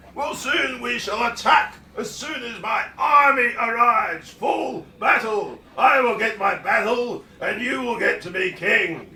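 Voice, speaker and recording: A put-on character voice, raised and projected, at a fairly slow pace. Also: man, extremely high pitch for a man. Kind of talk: radio comedy drama.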